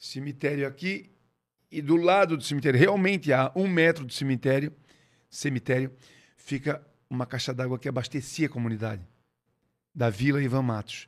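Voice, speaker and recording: Speaking at a moderate pace with long, frequent pauses, a man with a fairly high pitch shows ordinary pitch variation on a very clean recording with a silent background. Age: 50s. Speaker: musician. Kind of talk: casual interview.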